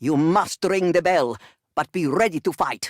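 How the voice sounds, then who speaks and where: A growling, put-on character voice at a middle pitch and moderate pace. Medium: video game. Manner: solemn, portentous.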